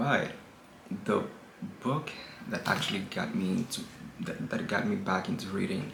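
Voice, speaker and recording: Long, frequent pauses break up this man's speech amid noticeable background noise. His voice is fairly high, and his pitch swings very widely. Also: moderate pace. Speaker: book reviewer video host. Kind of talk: casual talk to camera.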